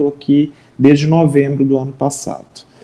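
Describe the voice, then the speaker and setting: The tone is dark and mellow. The delivery comes at a fairly slow pace. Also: man. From Minas Gerais, Brazil. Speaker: social worker and professor. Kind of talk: interview conversation.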